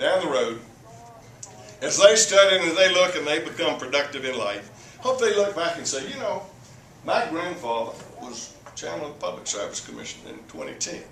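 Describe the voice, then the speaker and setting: A man with a Southern US accent talks fairly quickly at a high pitch, his voice making very wide pitch swings. Audible room echo and noticeable background noise fill the recording. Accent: Southern US (Georgia). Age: 70s. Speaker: public utility commissioner. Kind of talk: speech to a club audience. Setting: meeting room with audience. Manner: halting, repeats words.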